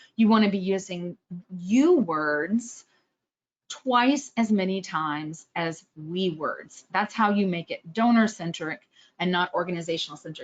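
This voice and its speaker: A woman speaks with a slight Texan accent. Her pitch is medium, with ordinary pitch variation. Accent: slight Texas. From Texas, Austin. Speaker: fundraising trainer. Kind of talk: webinar presentation. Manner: fast; clearly enunciated.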